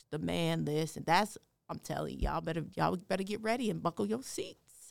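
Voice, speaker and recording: A woman with an American accent talks at a fairly quick pace. Her loudness swings widely. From Denver, Colorado. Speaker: city diversity director. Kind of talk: interview conversation.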